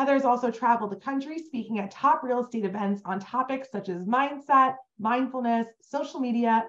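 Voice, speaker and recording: Over a quiet background, a woman with an ordinary speaking voice talks at a fairly quick pace in a fairly high pitch with ordinary pitch variation. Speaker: webinar host for a realtor association. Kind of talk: webinar introduction. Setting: online webinar. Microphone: video call.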